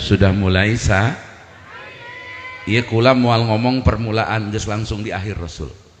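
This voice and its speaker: A man talks at a fairly slow pace in an animated tone. Audible room echo surrounds his voice. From Banten, Indonesia (Pandeglang). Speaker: Islamic preacher. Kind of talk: humorous religious sermon. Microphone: echo added, bass reduced.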